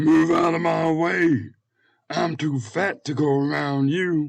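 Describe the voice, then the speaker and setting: Putting on a character voice, a man delivers his lines at a fairly slow pace with a fairly high pitch. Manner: slow, bloated, comical.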